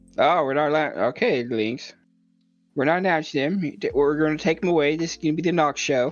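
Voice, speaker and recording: Music plays in the background as a man, fairly high in pitch, talks fairly quickly with ordinary pitch variation. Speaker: podcast co-host. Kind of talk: casual chat.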